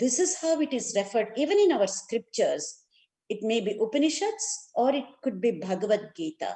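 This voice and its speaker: A woman's high voice with a dark, mellow tone, very wide pitch swings and a moderate pace. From India, Karnataka. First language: Kannada. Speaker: neuroscience and yoga educator. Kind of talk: lecture.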